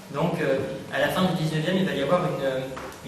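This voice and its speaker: Moderate pace and ordinary pitch variation, with noticeable background noise and audible room echo. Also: man. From southwest France. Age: 20s. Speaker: political activist and spokesperson. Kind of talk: public talk. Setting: public meeting hall, no microphone. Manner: hesitant, many fillers.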